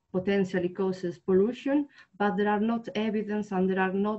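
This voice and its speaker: The background stays quiet. A woman's voice comes through. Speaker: presenter. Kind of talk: webinar presentation. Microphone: webcam.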